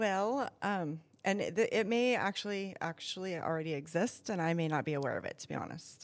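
A woman with an American accent speaks at a fairly quick pace with hardly any pauses, a medium pitch and ordinary pitch variation on a very clean recording with a silent background. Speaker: school nutrition services director. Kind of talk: interview. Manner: hesitant, many fillers.

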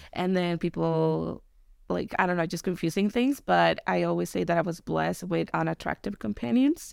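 A woman with a Mexican accent speaks at a moderate pace on a very clean recording with a silent background. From Mexico. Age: 30s. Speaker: podcast guest. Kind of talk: casual chat.

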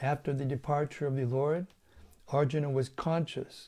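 A somewhat breathy man talks at a moderate pace and medium pitch, keeping his intonation fairly even. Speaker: Hare Krishna monk leading scripture readings. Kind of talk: scripture reading. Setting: live online reading, streamed to an audience.

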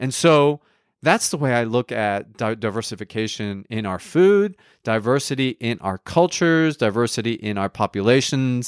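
A man with an American accent, medium in pitch, animated in tone, with lively intonation, at a moderate pace, in a dry, close sound with no echo. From United States (raised), Colombian-born. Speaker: nutritionist podcast host. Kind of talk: casual solo podcast monologue.

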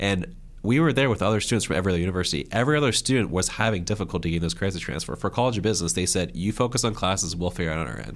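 This man talks at a very fast pace in a very deep, low pitch, with hardly any pauses. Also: lively intonation. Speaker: podcast co-host and graduate student. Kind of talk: interview.

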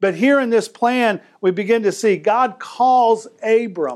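A man talks at an extremely high pitch. The recording is very clean, with a silent background. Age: 50s. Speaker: preacher. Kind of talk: sermon. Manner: animated.

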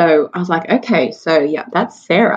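This is a woman speaking in an Australian accent. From Australia, Sydney. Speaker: mother and charity worker. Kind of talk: testimony.

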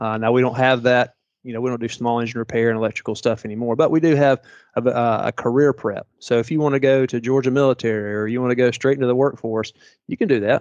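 A man talks at a very fast pace. He speaks with a Southern US accent. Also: medium pitch for a man, fairly even intonation. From Tennessee (Chattanooga). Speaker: private school president. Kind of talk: interview.

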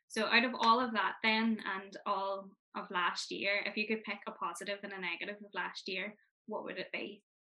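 A woman with a Northern Irish accent talks at a moderate pace and medium pitch. Her intonation is monotone and flat, with big swings in loudness. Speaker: podcast host, youth organisation representative. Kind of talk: casual interview.

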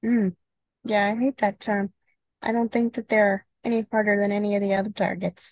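A woman's somewhat breathy voice at medium pitch, monotone and flat, moderate in pace with long, frequent pauses, very even loudness, and a dry, close sound with no echo. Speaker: certified skeet shooting instructor and podcast co-host. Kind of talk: casual instructional podcast chat.

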